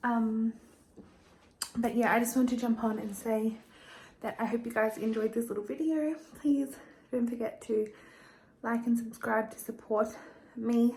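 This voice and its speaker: At a moderate pace and with fairly even intonation, this voice comes through with long, frequent pauses over noticeable background noise. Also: woman, fairly high pitch for a woman. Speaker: lifestyle vlogger. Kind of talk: casual vlog talk to camera.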